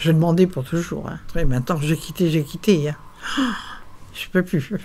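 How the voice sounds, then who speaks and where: A woman speaks somewhat breathily at a moderate pace. Her tone is dark and mellow. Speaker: retirement home resident. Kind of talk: interview testimony.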